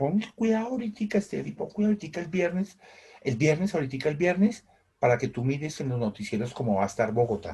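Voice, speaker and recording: A man with a fairly high pitch and a dark, mellow tone speaks at a very fast pace. His pitch swings very widely. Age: 60s. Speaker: teacher. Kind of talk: online class. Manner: halting, many repetitions.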